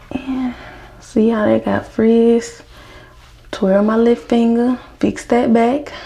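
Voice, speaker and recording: Speaking very slowly with long, frequent pauses, a woman with an American accent keeps a monotone, flat intonation at a fairly high pitch. Noticeable background noise runs underneath. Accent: Southern US accent, per others. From US South. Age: 20s. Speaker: hair care vlogger. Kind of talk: casual tutorial. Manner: casual, chatty.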